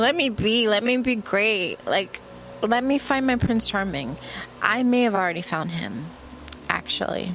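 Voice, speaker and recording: With noticeable background noise behind her, a woman speaks fairly slowly in a fairly high pitch with lively intonation. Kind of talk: angry rant. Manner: fired-up, sneering and defiant, spitting out short punchy insults and swearing; loud, emphatic, repeating words for effect.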